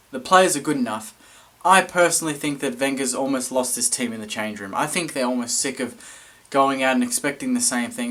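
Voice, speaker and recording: There's noticeable background noise behind this speaker. A man with an Australian accent talks at a fairly high pitch. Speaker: football fan vlogger. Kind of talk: match review vlog. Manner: fast.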